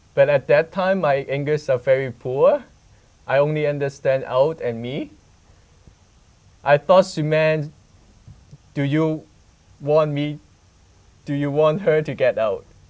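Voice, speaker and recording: In a Hong Kong accent, a man speaks at a fairly high pitch with ordinary pitch variation. His pace is fairly slow, with long, frequent pauses. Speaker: student reporter. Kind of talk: casual conversation.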